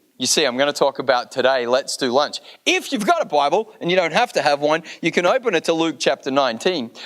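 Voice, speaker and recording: A man with an Australian accent speaks at a fairly high pitch and a very fast pace, with hardly any pauses. His tone is animated and his intonation lively, and the sound is dry and close with no echo. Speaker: guest pastor. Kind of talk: sermon.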